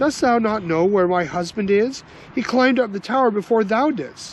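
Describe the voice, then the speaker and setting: Someone doing a put-on character voice sounds shrill at a fairly high pitch, talking at a moderate pace against clear background noise. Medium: read story. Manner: shrill, agitated.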